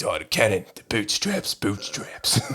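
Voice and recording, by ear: This is a raspy, put-on character voice in an Australian accent. It moves at a moderate pace. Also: man.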